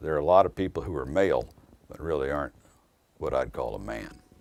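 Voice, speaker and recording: A man with an American accent speaks at a moderate pace with lively intonation. Vocal fry runs through his voice. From southern Indiana, Jeffersonville. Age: 60s. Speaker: attorney. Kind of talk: interview reminiscence.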